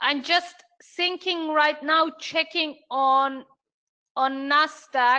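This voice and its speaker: A woman with a German accent speaks very slowly in a raised, projected voice, her bright, sharp tone carried on fairly even intonation. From Germany. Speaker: trading mentor. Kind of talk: live trading room commentary. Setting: live online stream. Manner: hesitant, many fillers.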